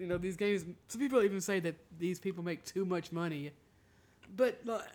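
Speaking at a moderate pace, a man with a high voice uses ordinary pitch variation. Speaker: podcast host. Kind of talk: casual chat. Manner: joking.

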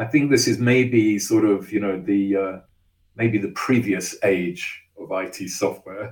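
Speaking with an English accent, a man talks at a very slow pace with a fairly low pitch and ordinary pitch variation. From England. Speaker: engineering executive. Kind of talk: interview.

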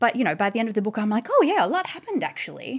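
In an Australian accent, the speaker is heard on a very clean recording with a silent background. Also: woman. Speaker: author and journalist. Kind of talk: casual chat.

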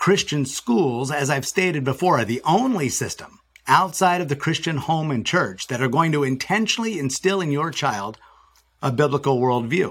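This man has an ordinary speaking voice with a fairly high pitch. He speaks at a moderate pace with lively intonation. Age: 50s. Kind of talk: podcast interview.

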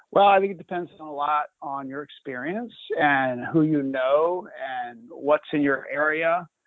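A man with an ordinary speaking voice talks at a fairly slow pace, with ordinary pitch variation and big swings in loudness. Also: fairly high pitch for a man. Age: 50s. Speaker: president of a racehorse retraining nonprofit. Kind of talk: live webinar Q&A.

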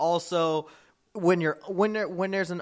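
Ordinary pitch variation and a moderate pace in a plain, everyday voice. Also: man. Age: 20s. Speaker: wrestling podcast co-host. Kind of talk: casual chat.

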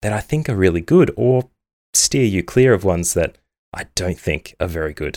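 In an Australian accent, a man with a very deep, low pitch talks at a very fast pace with lively intonation, in a dry, close sound with no echo and a very clean recording with a silent background. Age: 30s. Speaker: gaming podcast host. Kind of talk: solo podcast monologue.

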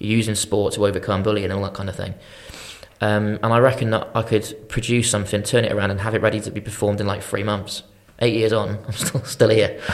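A man with a fairly low pitch talks at a very fast pace, in a monotone, flat intonation. Noticeable background noise is present. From Shropshire, England. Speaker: film producer. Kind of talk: casual chat. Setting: studio.

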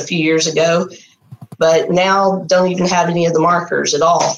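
A woman's fairly low voice in a Texan accent, moderately paced and monotone, with flat intonation. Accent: Southern US, Texan. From Texas. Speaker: artist, program graduate. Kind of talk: interview, personal testimony. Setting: video call.

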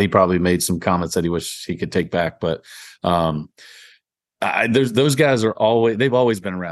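A man talks in a very deep, low register while the background stays quiet. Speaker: podcast co-host. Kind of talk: casual chat.

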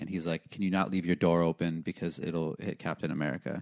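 In a very clean recording with a silent background, a man speaks in a very deep, low pitch with monotone, flat intonation and a dry, close sound with no echo. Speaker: comedian guest host. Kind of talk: casual chat.

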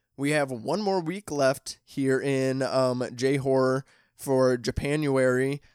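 This man has a Midwestern US accent and a fairly high pitch, with fairly even intonation in a dry, close recording that has no echo. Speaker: podcast host, horror film reviewer. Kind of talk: casual chat; scripted outro.

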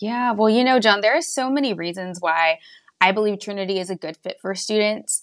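With an American accent and lively intonation, a woman in an unremarkable speaking voice talks at a medium pitch and a fairly quick pace over a quiet background. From West Texas. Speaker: college admissions counselor. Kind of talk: interview.

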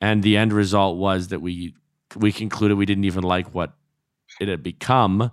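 A man with a Canadian accent and a plain, everyday voice speaks at a moderate pace with fairly low pitch and fairly even intonation, in a very clean recording with a silent background. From Alberta. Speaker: podcast co-host. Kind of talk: casual chat.

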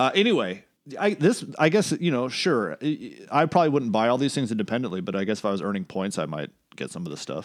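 On a very clean recording with a silent background, a man of medium pitch speaks at a very fast pace with very wide pitch swings and vocal fry. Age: 40s. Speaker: podcast co-host. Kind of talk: casual chat. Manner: halting.

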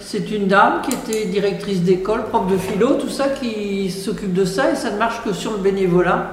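The woman talks at a moderate pace and medium pitch, with ordinary pitch variation. Room echo is audible, and background noise is noticeable. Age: old. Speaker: retired hospital worker. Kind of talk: casual chat.

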